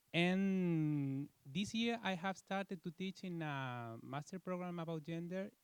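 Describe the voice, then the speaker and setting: A man with a Spanish accent, ordinary pitch variation, and a dry, close sound with no echo. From Spain. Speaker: law professor. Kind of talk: self-introduction at academic meeting. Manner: halting, many fillers.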